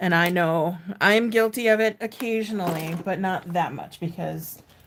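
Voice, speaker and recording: With an American accent, a woman speaks at a medium pitch with fairly even intonation. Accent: slight Minnesotan, stronger at times. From Minnesota. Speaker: sewing content creator. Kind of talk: casual livestream chat. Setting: live stream. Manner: casual, chatty.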